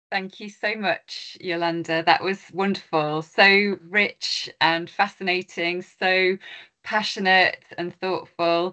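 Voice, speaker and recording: Over a quiet background, a voice with a bright, sharp tone moves at a very slow pace in a monotone, flat intonation. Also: woman. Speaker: university lecturer. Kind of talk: event moderation. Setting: university event with audience. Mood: warm, appreciative. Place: home room. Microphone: video call.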